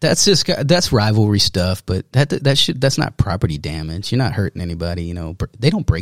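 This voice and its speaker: Fairly low in pitch yet with very wide pitch swings, a man speaks at a fairly quick pace and sounds somewhat breathy. The recording is very clean, dry and close with no echo, with a silent background. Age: 40s. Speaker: magician and artist. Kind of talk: casual chat.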